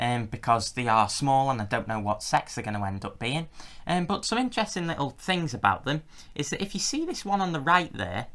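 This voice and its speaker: A fairly high-voiced man with an English accent, fairly quick, with very wide pitch swings, in a very clean recording with a silent background. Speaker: reptile keeper and video creator. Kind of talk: tutorial. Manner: loud.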